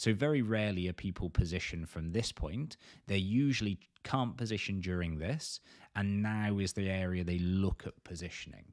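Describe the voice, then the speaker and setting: A man speaks at a fairly low pitch with ordinary pitch variation. The recording is very clean, with a silent background. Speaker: crypto trading analyst. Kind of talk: market analysis video. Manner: fast.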